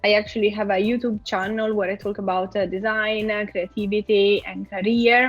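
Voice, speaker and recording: With music in the background, a woman with an Italian accent speaks at a medium pitch in a monotone, flat intonation, at a moderate pace with hardly any pauses. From Italy. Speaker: product designer. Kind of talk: interview.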